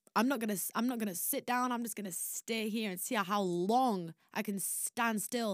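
In a Yorkshire accent, a woman talks at a moderate pace with medium pitch and ordinary pitch variation. The recording is very clean with a silent background, dry and close with no echo. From northern England, Barnsley, South Yorkshire. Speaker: singer. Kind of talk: casual storytelling.

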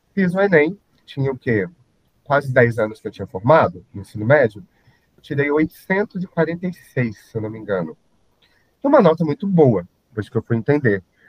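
A man with a fairly high, somewhat breathy voice speaks at a moderate pace, with very wide pitch swings, big swings in loudness and long, frequent pauses. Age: 30s. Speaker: IT consultant and social media influencer. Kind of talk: podcast interview.

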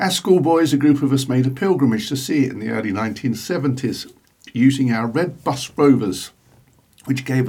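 Somewhat breathy, a man talks at a medium pitch. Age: 60s. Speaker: podcaster. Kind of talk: scripted monologue.

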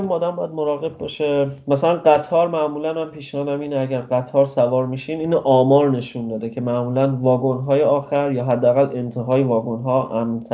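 Over noticeable background noise, a man with a fairly high pitch talks with hardly any pauses. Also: fairly even intonation, fairly quick pace. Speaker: traveler. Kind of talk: interview.

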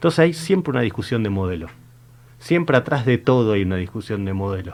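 An ordinary speaking voice from a man, fairly quick, with lively intonation. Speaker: local political candidate. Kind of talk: political interview.

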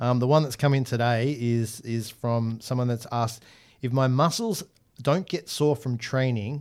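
In a plain, everyday voice, a man talks at a moderate pace with medium pitch and fairly even intonation, on a very clean recording with a silent background. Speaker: podcast host. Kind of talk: casual chat.

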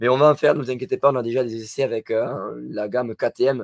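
A man's voice with fairly even intonation. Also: dry, close sound with no echo. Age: 30s. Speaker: motocross channel host. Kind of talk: casual live stream chat. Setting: live stream from home.

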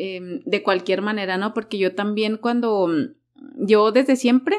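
An ordinary speaking voice with ordinary pitch variation at a moderate pace. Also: woman. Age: 30s. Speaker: life coach. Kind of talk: casual interview.

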